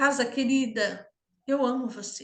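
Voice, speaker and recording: Her tone is bright and sharp, with a high pitch. The woman speaks at a fairly slow pace. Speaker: systemic mentor and home harmony teacher. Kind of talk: online class talk.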